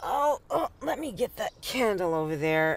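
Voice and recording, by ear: In a put-on character voice with vocal fry, the speaker talks at a slow pace and swings the pitch widely. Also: woman.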